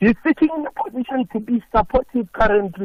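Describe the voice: At a fast pace, a man speaks in an extremely high pitch with lively intonation.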